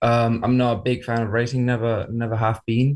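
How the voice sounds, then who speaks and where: Someone with a Spanish accent speaks at a moderate pace in a very clean recording with a silent background. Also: man. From Spain. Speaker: university motorsport team leader. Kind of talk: radio interview.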